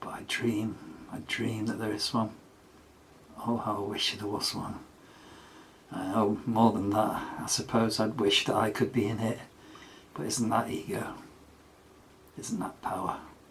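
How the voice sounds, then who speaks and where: Amid noticeable background noise, the speaker moves at a fairly slow pace with long, frequent pauses and fairly even intonation. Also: man, fairly low pitch for a man. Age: 70s. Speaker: solo vlogger and amateur musician. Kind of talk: casual monologue. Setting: in the bath at home.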